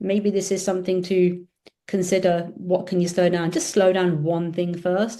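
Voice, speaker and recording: In a British accent, a woman speaks with a dark, mellow tone and monotone, flat intonation. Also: medium pitch for a woman, moderate pace. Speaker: optometrist and business owner. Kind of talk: casual chat.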